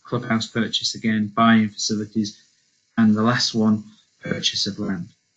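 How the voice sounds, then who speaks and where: A medium-pitched man with music in the background. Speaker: sports funding officer. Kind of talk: webinar presentation. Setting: online webinar. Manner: fast; hesitant with fillers.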